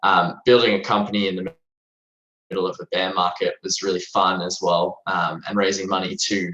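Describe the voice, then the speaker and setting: The man talks with an Australian accent, keeping a moderate pace. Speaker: tech company executive. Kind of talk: podcast interview.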